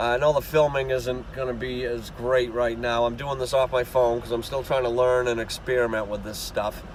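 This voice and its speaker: At a moderate pace, a man with a strong Boston accent speaks at a medium pitch in monotone, flat intonation, with noticeable background noise. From Boston area, Massachusetts. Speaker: refrigeration and HVAC technician. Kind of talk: casual channel intro talk.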